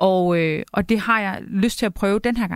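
Speaking fairly slowly at medium pitch with fairly even intonation, a woman is heard on a very clean recording with a silent background. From Denmark. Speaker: journalist and cookbook author. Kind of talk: casual chat. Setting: studio.

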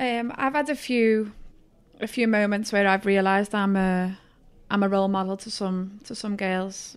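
A woman's medium-pitched voice with a Liverpool accent and fairly even intonation, on a very clean recording with a silent background. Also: moderate pace. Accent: Liverpool (Scouse) English. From northern England, Liverpool. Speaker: youth soccer coach. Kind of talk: casual interview.

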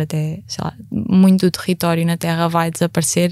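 A woman with a fairly low pitch speaks at a moderate pace on a very clean recording with a silent background. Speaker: climate activist. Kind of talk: panel discussion.

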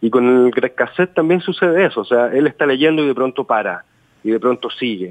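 A man with an unremarkable speaking voice talks at a fairly quick pace and medium pitch, his intonation lively and his loudness very even. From Chile. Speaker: novelist. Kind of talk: interview.

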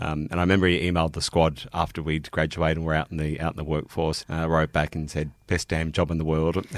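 A man with an Australian accent talks at a very fast pace with hardly any pauses. His very deep, low voice stays monotone and flat. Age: 40s. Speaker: police officer. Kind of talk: casual chat.

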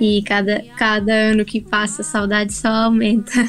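Music plays behind a woman whose pitch is fairly high. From Brazil. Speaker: singer-songwriter. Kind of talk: radio interview.

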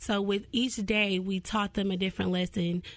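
Speaking at a moderate pace and medium pitch, a woman with a Southern US accent keeps a monotone, flat intonation. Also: quiet background. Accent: Southern US (Georgia). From US South, Cartersville, Georgia. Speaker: nonprofit founder. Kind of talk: radio interview.

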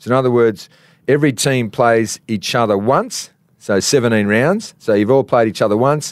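With an Australian accent, a man speaks at a moderate pace and medium pitch, keeping his loudness very even. The recording is very clean, with a silent background. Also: ordinary pitch variation. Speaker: TV reporter and former footballer. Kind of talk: reading aloud; casual chat. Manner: animated.

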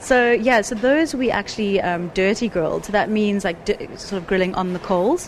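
Over noticeable background noise, a woman speaks at medium pitch and a moderate pace with ordinary pitch variation and hardly any pauses. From South Africa. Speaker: food magazine content director. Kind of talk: casual chat.

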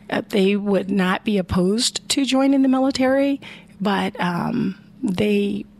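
Noticeable background noise accompanies a woman with an American accent speaking at a fairly slow pace, with medium pitch, ordinary pitch variation, and very even loudness. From Chicago, Illinois. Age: 50s. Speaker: Navy veteran and veterans advocate. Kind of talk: interview.

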